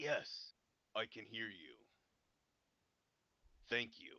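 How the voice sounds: Raspy, put-on character voice from a man at medium pitch.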